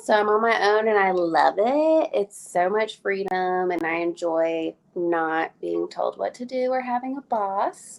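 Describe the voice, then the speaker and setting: With a Southern US accent, a woman speaks at a very slow pace. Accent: US South. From Alabama. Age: 30s. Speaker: hairstylist. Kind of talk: casual chat.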